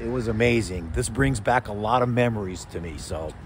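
Light background noise under a man speaking, the sound dry with no echo. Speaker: motorcycle vlogger. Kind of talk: casual vlog chat. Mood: enthusiastic, nostalgic. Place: street. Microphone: phone near.

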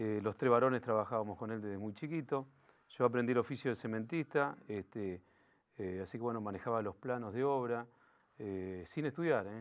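The man's voice has a medium pitch and ordinary pitch variation. He moves at a moderate pace. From Greater Buenos Aires, Argentina (Los Polvorines); Buenos Aires, Argentina. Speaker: local political candidate; candidate. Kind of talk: interview. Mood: calm, reflective storytelling. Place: studio. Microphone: lapel.

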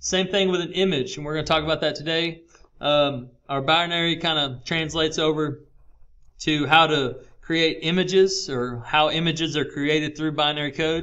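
Here is a normal speaking voice, fairly even in intonation and moderate in pace. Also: man, fairly high pitch for a man. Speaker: teacher. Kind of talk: tutorial.

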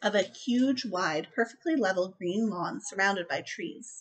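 A woman's pitch swings very widely. She keeps a moderate pace. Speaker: book reviewer vlogger. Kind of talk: audiobook-style reading aloud of novel passages, in a steady narrator's cadence; casual book review to camera. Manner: measured, descriptive narration with even pacing, a storyteller's tone; chatty, enthusiastic, with filler words and laughs. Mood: calm storytelling tone. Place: home room. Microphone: webcam.

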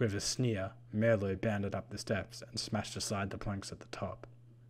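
What comes through is a natural reading voice.

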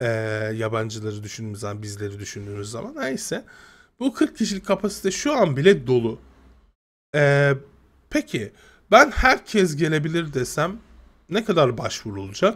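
At a moderate pace, a man speaks with very wide pitch swings and long, frequent pauses. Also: fairly high pitch for a man. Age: 30s. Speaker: gaming youtuber. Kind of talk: casual video commentary. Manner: halting, many fillers.

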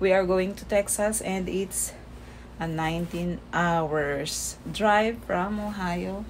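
Light background noise beneath a woman's voice. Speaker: travel vlogger. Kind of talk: casual vlog chat. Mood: excited about trip. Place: home room. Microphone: phone near.

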